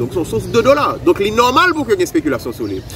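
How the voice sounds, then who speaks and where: Noticeable background noise is heard behind a man. His pitch swings are very wide. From Haiti. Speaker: economist; economic commentator guest. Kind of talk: expert analysis. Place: garden.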